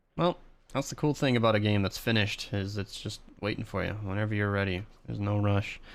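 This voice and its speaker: On a very clean recording with a silent background, a man talks at a very fast pace in a fairly low voice with ordinary pitch variation. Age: 20s. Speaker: streamer. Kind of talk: casual chat.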